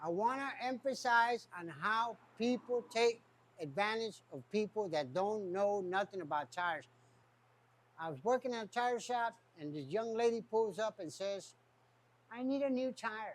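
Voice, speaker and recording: High-pitched male voice with lively intonation, at a fairly slow pace. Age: 60s. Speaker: tire shop owner. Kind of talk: casual talk to camera.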